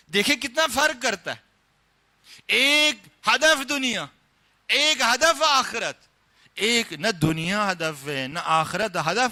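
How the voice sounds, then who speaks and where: Raising and projecting his voice, a man speaks at an extremely high pitch. His tone is bright and sharp, with very wide pitch swings. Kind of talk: religious sermon (majlis) lecture.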